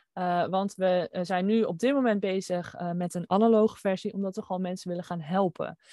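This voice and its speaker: At a moderate pace, a woman with a medium pitch and a dark, mellow tone is heard in a dry, close sound with no echo. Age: 20s. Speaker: designer and entrepreneur. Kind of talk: interview. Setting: video call.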